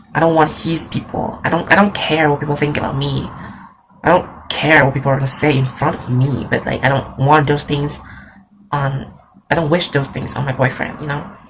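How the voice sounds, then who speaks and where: A very deep, low-pitched woman's voice, fairly quick and monotone, over noticeable background noise. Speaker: graphic designer. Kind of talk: casual talk to camera.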